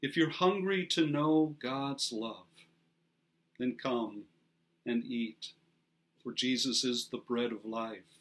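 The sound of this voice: A man speaks at a slow pace. His speech has long, frequent pauses. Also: medium pitch for a man, ordinary pitch variation, fairly bright tone.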